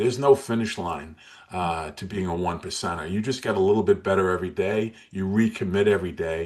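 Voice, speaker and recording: Over a quiet background, a man has an ordinary speaking voice, fairly low in pitch with ordinary pitch variation. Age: 60s. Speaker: motivational speaker and weight loss coach. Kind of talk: interview.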